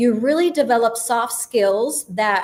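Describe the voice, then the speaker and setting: This is a woman with a normal speaking voice and a fairly high pitch. She talks at a fairly slow pace with ordinary pitch variation. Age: 40s. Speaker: agency founder and video content guest. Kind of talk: live show interview.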